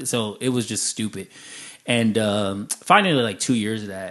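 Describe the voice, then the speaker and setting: This man has an American accent and a fairly low pitch. His tone is animated, over a quiet background. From Chicago, then California. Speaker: podcast co-host and business owner. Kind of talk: interview, telling life story. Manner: casual, animated.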